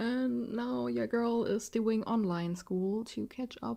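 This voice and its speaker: A woman with a German accent speaks at a fairly slow pace. Her fairly high voice has a dark, mellow tone and sounds somewhat breathy. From southwest Germany. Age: 20s. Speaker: podcast host. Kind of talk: casual monologue. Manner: halting.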